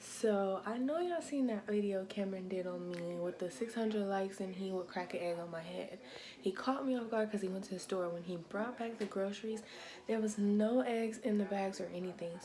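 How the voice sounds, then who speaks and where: In a room with audible echo, a woman at medium pitch speaks at a moderate pace with ordinary pitch variation. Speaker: vlogger. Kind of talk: casual vlog. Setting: at home in apartment.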